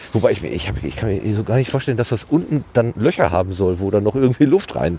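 Long, frequent pauses separate speech marked by very wide pitch swings. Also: man. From Germany, Ruhr area (Hattingen). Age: 50s. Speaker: podcast host. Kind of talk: casual chat. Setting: outdoors.

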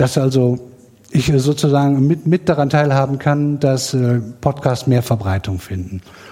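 Against noticeable background noise, a man talks at a fairly slow pace with a fairly high pitch. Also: ordinary pitch variation. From Sauerland, western Germany. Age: 40s. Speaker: podcast promoter on social media. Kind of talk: self-introduction at live event. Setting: live room with audience.

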